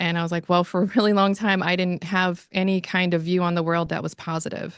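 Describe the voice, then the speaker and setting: Against a quiet background, a woman speaks at a fairly quick pace with an American accent. Her pitch is fairly low and her intonation monotone and flat. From Washington state, US Pacific Northwest. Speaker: veteran. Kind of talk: interview. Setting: lounge.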